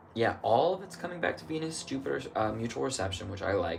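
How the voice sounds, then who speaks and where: Amid noticeable background noise and audible room echo, a man speaks at a medium pitch and a moderate pace, his voice making very wide pitch swings. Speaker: astrologer. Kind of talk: solo astrology reading, casual monologue. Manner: thinking aloud, casual.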